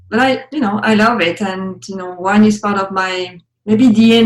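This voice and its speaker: A woman speaks with a French accent. Her intonation is fairly even. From France, Champagne region. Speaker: wine educator. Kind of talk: interview.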